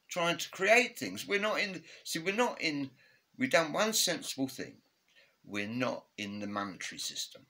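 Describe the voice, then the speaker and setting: A man with an English accent speaks at a moderate pace in a high, bright, sharp voice with very wide pitch swings. The recording is very clean with a silent background. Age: 70s. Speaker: retired father sharing political views. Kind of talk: casual interview. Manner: halting.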